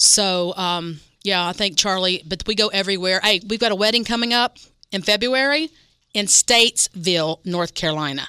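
A woman with an American accent, medium pitch and ordinary pitch variation, moderate pace, bright, sharp tone and a dry, close sound with no echo. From West Virginia. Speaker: restaurant catering representative. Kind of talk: radio interview. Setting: radio studio. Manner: animated.

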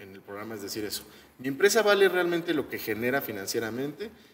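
A man speaks with a Mexican accent at medium pitch. His pace is fairly quick. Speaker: podcast co-host. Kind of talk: casual chat.

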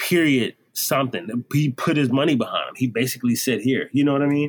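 A man speaks in a normal speaking voice at a medium pitch with ordinary pitch variation and a dry, close sound with no echo. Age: 30s. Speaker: singer and drummer. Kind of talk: casual chat.

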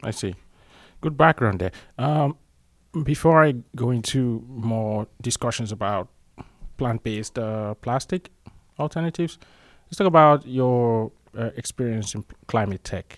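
The speaker moves at a fairly slow pace, with long, frequent pauses and ordinary pitch variation. The sound is dry and close, with no echo. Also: man, medium pitch for a man. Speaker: podcast host. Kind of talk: interview. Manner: halting, filler-heavy.

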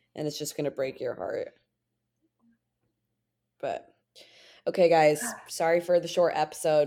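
A raspy put-on character voice from a woman, fairly low in pitch, at a moderate pace with big swings in loudness and long, frequent pauses. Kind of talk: casual podcast sign-off.

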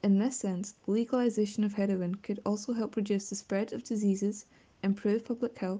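A woman with a Glasgow accent speaks at a fairly quick pace and a medium pitch. Her voice is somewhat breathy, with a dark, mellow tone. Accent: Scottish (Glasgow). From west of Scotland, near Glasgow. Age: young. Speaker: student. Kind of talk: prepared statement.

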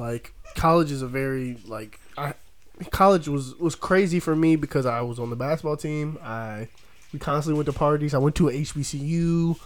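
With an ordinary speaking voice, a man talks at a moderate pace, his fairly high pitch showing ordinary pitch variation. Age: 20s. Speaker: podcast host. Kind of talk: casual chat.

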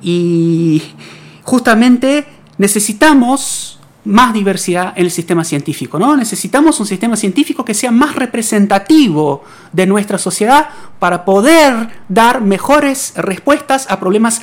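In an Argentine accent, the speaker goes at a fairly slow pace with very wide pitch swings over noticeable background noise. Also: woman. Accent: Rioplatense Argentine Spanish. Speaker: radio science segment host; physics researcher. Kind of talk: interview. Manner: halting, many repetitions.

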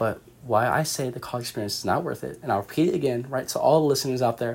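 A man with an American accent, medium in pitch, talking at a very fast pace. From California, San Jose. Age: 20s. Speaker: student podcast host. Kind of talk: solo podcast monologue. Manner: casual, many filler words.

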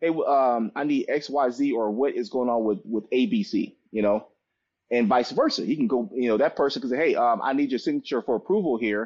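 An unremarkable speaking voice from a man, fairly high in pitch, fairly quick, with lively intonation. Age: 40s. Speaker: business consultant and engineer, Air Force veteran. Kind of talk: interview. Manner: repetitive, stumbling speech.

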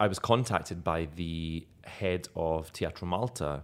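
A man with a slight Scottish accent speaks in a very deep, low voice on a very clean recording with a silent background. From Scotland. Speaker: actor. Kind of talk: casual interview chat. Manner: animated, humorous.

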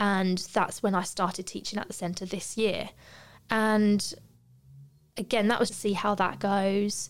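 With a British accent and a medium pitch, a woman talks at a fairly slow pace with long, frequent pauses in a very clean recording with a silent background. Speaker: podcast host, barber and yoga teacher. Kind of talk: casual chat. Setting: studio. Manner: animated.

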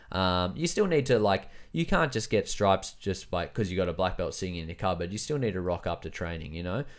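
At a fairly quick pace, a man with a very deep, low pitch and ordinary pitch variation speaks in a very clean recording with a silent background. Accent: Australian. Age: 30s. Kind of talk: casual chat.

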